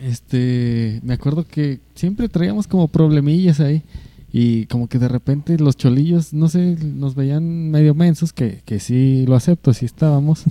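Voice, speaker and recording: A man's dark, mellow voice sits at a fairly high pitch and moves fairly slowly with ordinary pitch variation. The sound is dry and close, with no echo. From Mexico. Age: 20s. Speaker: podcast co-host. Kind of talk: casual chat.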